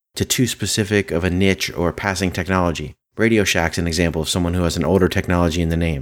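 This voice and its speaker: A man speaks at a very fast pace with hardly any pauses. His very deep, low pitch carries fairly even intonation. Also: very clean recording, silent background. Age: 30s. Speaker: podcast host, software developer. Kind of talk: solo podcast monologue.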